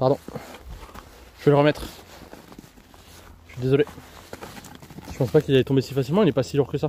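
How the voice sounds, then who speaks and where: A soft-spoken man at a medium pitch, dry and close with no echo, over noticeable background noise. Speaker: geography streamer. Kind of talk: live stream hiking vlog. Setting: outdoors on a hiking trail. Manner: speaks softly.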